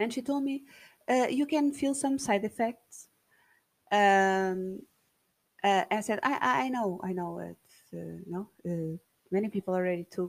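With a non-native accent, a woman at medium pitch speaks at a fairly slow pace with lively intonation and long, frequent pauses. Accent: non-native English speaker. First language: Portuguese. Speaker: podcast host. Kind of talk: casual monologue. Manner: halting, many fillers and repetitions.

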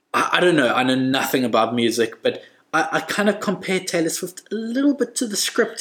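A man is speaking. His pitch swings very widely. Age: 30s. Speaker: podcast guest, host's husband. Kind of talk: casual chat.

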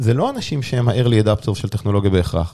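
Talking at a very fast pace, a man has a somewhat breathy, dark, mellow tone and ordinary pitch variation. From Israel. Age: 30s. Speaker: startup CEO and sales executive. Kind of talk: interview.

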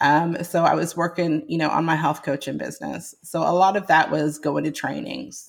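At a moderate pace, a woman speaks in a fairly low pitch with vocal fry and lively intonation. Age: 40s. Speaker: nurse practitioner and health coach. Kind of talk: interview testimony. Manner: halting, many repetitions.

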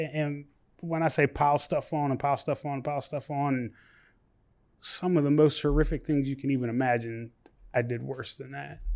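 A man with an American accent at a fairly quick pace, an unremarkable speaking voice. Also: fairly high pitch for a man, fairly even intonation. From West Virginia. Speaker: nonprofit founder, former strip club manager. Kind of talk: testimony.

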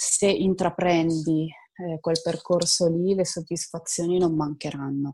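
In a very clean recording with a silent background, a woman speaks at a fairly slow pace, fairly low in pitch and monotone, with flat intonation. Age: 20s. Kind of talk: interview.

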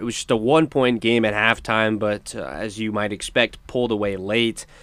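At a moderate pace, a man is speaking. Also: very clean recording, silent background. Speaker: radio host. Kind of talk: live sports radio talk show, studio banter. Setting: radio studio. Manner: energetic, fluent, animated.

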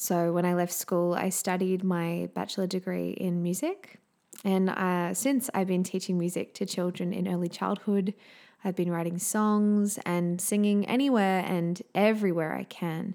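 With a dark, mellow tone and medium pitch, a woman speaks at a moderate pace with fairly even intonation on a very clean recording with a silent background. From Queensland, Australia. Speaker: podcast host, singer and music teacher. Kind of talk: solo podcast introduction, warm and personal.

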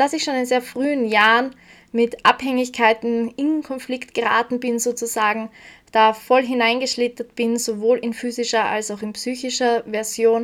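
The speaker has an Austrian accent and a monotone, flat intonation at a moderate pace. The recording is very clean, with a silent background. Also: woman, high pitch for a woman. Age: 20s. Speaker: podcast host, self-development coach. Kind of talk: personal monologue.

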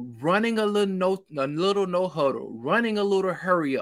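A man with a Mississippi accent, high in pitch and lively in intonation, on a very clean recording with a silent background. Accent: Southern US (Mississippi). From Mississippi, US South. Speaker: sports podcaster and YouTuber. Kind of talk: casual sports chat.

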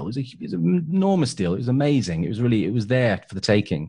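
Against a quiet background, a man speaks with a British accent. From England. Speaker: property entrepreneur and podcaster. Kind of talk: interview conversation.

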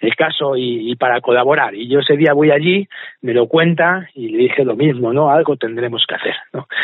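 With a normal speaking voice, a man holds a medium pitch at a moderate pace, varying his pitch in an ordinary way. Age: 40s. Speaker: charity event organizer. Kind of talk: interview.

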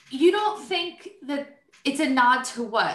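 A woman with an American accent, heard with audible room echo. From New Jersey. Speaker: podcast host, IT professional. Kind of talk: casual chat.

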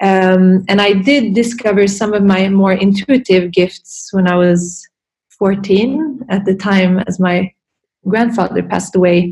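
Speaking at a fairly slow pace with fairly even intonation, a woman has a somewhat breathy voice at a medium pitch. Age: 30s. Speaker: yoga and meditation teacher, Reiki practitioner. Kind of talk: interview conversation.

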